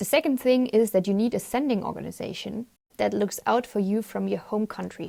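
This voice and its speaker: The speaker talks at a fairly quick pace with a German accent. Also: woman. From Germany. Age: 20s. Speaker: volunteer. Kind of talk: presentation.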